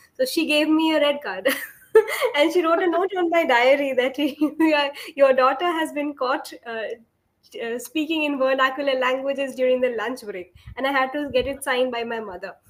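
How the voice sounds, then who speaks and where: Her voice is high for a woman, and this woman's pitch varies in an ordinary way. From India, Kolkata, West Bengal. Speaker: English tutor. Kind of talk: casual chat. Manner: fast.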